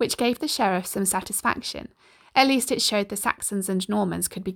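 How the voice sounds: A natural reading voice carries the whole clip.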